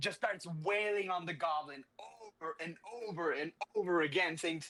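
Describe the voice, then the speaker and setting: A man with a high-pitched voice talks at a moderate pace. His tone is animated. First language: not English. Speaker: comic book podcast co-host. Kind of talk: casual chat, recapping a comic.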